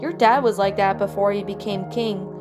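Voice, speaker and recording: A woman talks at a moderate speed. Behind her, music is playing. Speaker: story narrator. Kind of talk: story reading.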